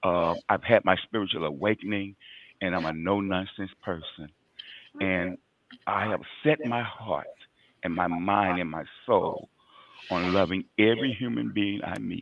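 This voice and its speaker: A man with a fairly low pitch talks at a moderate pace with ordinary pitch variation. His pauses are long and frequent. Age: 60s. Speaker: recovered addict turned outreach worker. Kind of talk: testimony. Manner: halting.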